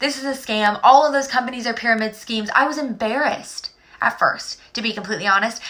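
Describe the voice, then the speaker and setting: The tone is animated, and the pitch varies in an ordinary way. Noticeable background noise runs underneath. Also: woman. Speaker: direct sales director. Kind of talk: sales pitch. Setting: live stream. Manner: fast.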